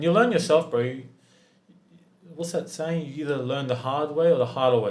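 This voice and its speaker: With an Australian accent, a man talks at a fairly quick pace with long, frequent pauses, fairly high pitch and ordinary pitch variation. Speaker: business founder. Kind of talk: casual chat. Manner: animated.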